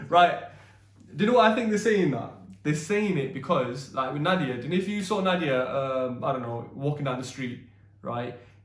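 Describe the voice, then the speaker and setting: Amid noticeable background noise and audible room echo, a man with fairly high pitch talks at a moderate pace in an animated tone with lively intonation. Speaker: YouTube co-host, husband. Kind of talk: casual chat. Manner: loud.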